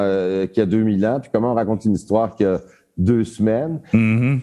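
Using a dark, mellow tone, a man speaks at a moderate pace in a fairly low pitch with ordinary pitch variation. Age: 60s. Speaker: theatre director. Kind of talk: casual interview.

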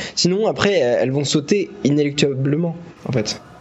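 A man's fairly high voice at a fairly slow pace with ordinary pitch variation, amid noticeable background noise. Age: 20s. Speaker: business school student, podcast co-host. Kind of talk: casual chat. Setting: bar basement, phones as mics. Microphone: phone microphone.

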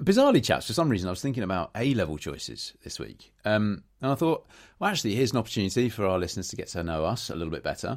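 A man with a fairly low voice races along at a very fast pace with hardly any pauses and very wide pitch swings, on a very clean recording with a silent background. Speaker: podcast host. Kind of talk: casual chat.

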